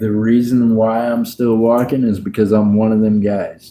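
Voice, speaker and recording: Speaking at a moderate pace, a man with an American accent has a medium pitch and a dark, mellow tone. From Missouri. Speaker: coin roll hunting streamer. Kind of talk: casual livestream chat. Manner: animated.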